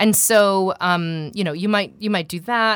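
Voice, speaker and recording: A woman speaks with a General American accent in a plain, everyday voice, using ordinary pitch variation. Her moderate pace comes through in a very clean recording with a silent background. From US West Coast, Seattle. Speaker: voice coach and voiceover artist. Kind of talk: interview. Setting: studio.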